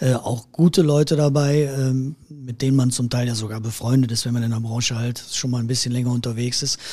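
A man's medium-pitched, dark, mellow voice, somewhat breathy, with monotone, flat intonation. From Erkelenz, Heinsberg district, Rhineland, Germany. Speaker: musician, keyboard player and music school owner. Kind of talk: interview conversation.

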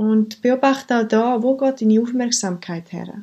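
Fairly slow speech from a woman, ordinary in its pitch variation. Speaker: mindfulness coach. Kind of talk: podcast monologue; guided meditation.

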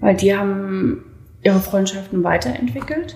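Audible room echo surrounds a woman speaking at a moderate pace in a somewhat breathy voice. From Saxony (Leipzig), East Germany. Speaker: former gymnast, doping victim. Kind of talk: interview testimony. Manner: hesitant, many fillers.

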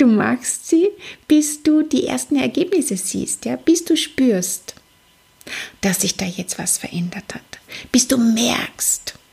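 A woman's pitch swings very widely while she talks very slowly against noticeable background noise. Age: 40s. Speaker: psychologist and life coach, podcast host. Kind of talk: solo motivational podcast monologue.

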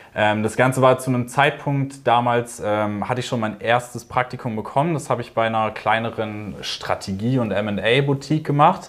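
Speaking at a moderate pace with hardly any pauses, a man uses a medium pitch and ordinary pitch variation. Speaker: business student. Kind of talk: interview. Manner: hesitant with many fillers.

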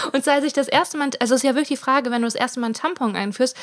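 The speaker is a woman. She uses ordinary pitch variation. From Germany, Ruhr area (Hiesfeld). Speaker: comedian and podcast co-host. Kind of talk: casual chat. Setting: recorded sitting in bed. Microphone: sharing one mic, sound quality poor in first episode.

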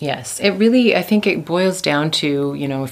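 A woman with a Canadian accent at a moderate pace, over noticeable background noise. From Canada. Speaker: assistant professor of management. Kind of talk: interview.

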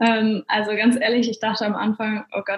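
In an unremarkable speaking voice, a woman talks at a moderate pace with a fairly high pitch. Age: 20s. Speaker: network marketer. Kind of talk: interview.

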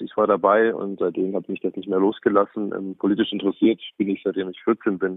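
A man talks at a fairly quick pace. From Bavaria, Lower Bavaria. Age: 40s. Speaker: politician, member of parliament. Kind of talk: interview. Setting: phone call.

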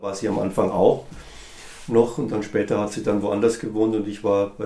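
A man talks in a monotone, flat way over noticeable background noise. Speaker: musician. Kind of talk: interview.

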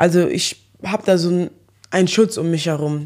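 This woman has an ordinary speaking voice, fairly low in pitch, with fairly even intonation. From Germany, Eschweiler near Aachen. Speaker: social media personality. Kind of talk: interview.

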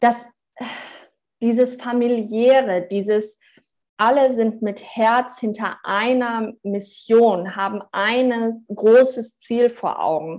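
A woman talks very slowly in a fairly high pitch over a quiet background. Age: 30s. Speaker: charity project manager. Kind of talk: casual interview. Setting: video call.

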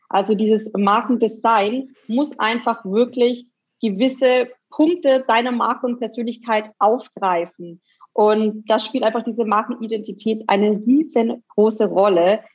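A woman speaks with an unremarkable speaking voice. Her pitch is fairly high and her pace fairly slow. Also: fairly even intonation. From Bavaria, near Nuremberg (Franconia). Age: 30s. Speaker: graphic designer. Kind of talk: interview.

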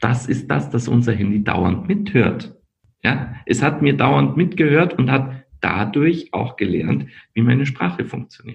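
A man's medium-pitched voice with vocal fry, very wide pitch swings, and a very slow pace. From Austria, Linz. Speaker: company founder. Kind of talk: podcast interview. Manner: halting, many repetitions.

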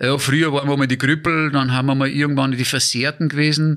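A man speaks at a fairly quick pace in a fairly high pitch. The background is quiet. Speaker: Paralympic handbike athlete. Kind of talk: casual interview. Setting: in his living room. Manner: halting, many fillers and repetitions.

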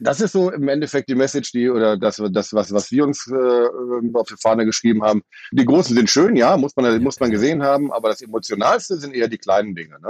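Very fast speech comes from a man with a medium pitch and ordinary pitch variation. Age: 50s. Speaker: festival-goer. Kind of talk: casual chat.

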